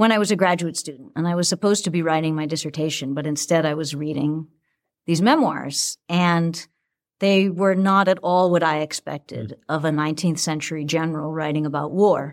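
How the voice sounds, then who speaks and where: In a very clean recording with a silent background, a woman with an American accent talks at a fairly quick pace in a plain, everyday voice, her pitch fairly low and her intonation fairly even. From Boston, Massachusetts. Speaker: English professor and author. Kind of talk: interview conversation.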